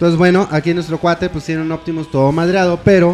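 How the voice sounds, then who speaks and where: Against noticeable background noise, a man talks with a Mexican accent. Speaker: podcast co-host. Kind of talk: casual chat. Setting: studio, live stream. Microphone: echo on his microphone.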